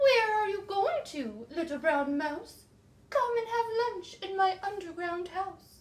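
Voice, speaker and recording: An extremely high-pitched, put-on character voice. The pace is fairly slow. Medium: read story.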